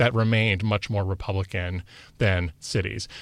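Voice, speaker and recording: A man with a plain, everyday voice, an American accent, fairly low pitch and ordinary pitch variation, against a quiet background. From Wisconsin. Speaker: political science professor and author. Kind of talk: interview conversation.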